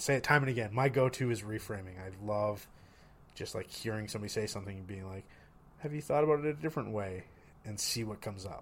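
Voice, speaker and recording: Pitch moves in an ordinary way while the loudness swings widely, all at a very fast pace. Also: man, fairly low pitch for a man. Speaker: recent psychology graduate and podcast co-host. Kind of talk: casual chat.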